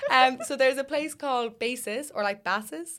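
With an Irish accent, the speaker uses lively intonation. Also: woman. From Ireland. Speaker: university student. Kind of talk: casual chat.

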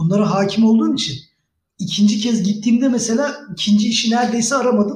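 This man's voice is high in pitch. His intonation stays fairly even. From Turkey, Bursa. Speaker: former exchange program participant. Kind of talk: casual chat.

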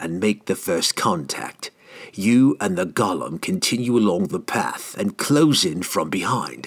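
A man puts on a character voice, fairly low-pitched and hissing. He moves at a fairly slow pace with very wide pitch swings. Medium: read story. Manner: cold, menacing, commanding.

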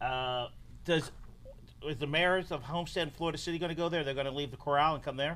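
Speaking very fast, a man with a fairly high voice keeps his intonation fairly even. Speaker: newspaper host. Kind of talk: casual interview, live video. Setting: Facebook Live video.

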